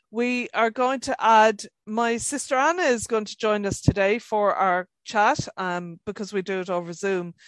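A woman with a normal speaking voice talks at a moderate pace with hardly any pauses, using a fairly high pitch and ordinary pitch variation, in a dry, close recording with no echo and a quiet background. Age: 50s. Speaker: podcast co-host. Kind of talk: casual chat. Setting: video call.

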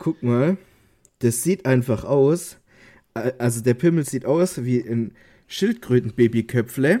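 At a very slow pace with long, frequent pauses, a man speaks at a medium pitch with ordinary pitch variation and a dark, mellow tone, in a very clean recording with a silent background. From Stuttgart area, Swabia, southwest Germany. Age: 20s. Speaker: podcast co-host. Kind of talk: casual chat.

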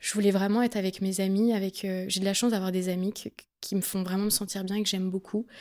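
A woman at a medium pitch and a fairly quick pace, a plain, everyday voice. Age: 20s. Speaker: singer-songwriter. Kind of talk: interview.

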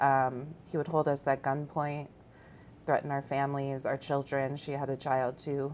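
A woman with a very deep, low pitch and an American accent, moderate in pace, in a monotone, flat delivery. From Iowa, small town. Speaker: human trafficking survivor. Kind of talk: testimony.

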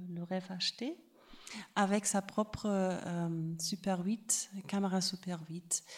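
A woman speaks with a German accent at a very slow pace. The recording is very clean, with a silent background. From Germany. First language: German (speaking French). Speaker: film festival artistic director. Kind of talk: panel talk. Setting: public venue with live audience. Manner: halting, searching for words.

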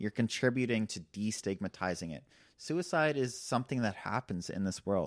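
In an ordinary speaking voice, a man talks at a moderate pace and fairly low pitch with lively intonation, the recording very clean with a silent background and a dry, close sound with no echo. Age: young. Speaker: doctoral candidate in social anthropology. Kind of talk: casual conversation.

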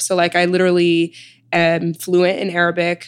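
A woman speaks with a Chicago accent. Her pitch is fairly low. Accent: Chicago American English. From Chicago, South Side. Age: 20s. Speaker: author and wellness advocate. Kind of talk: interview.

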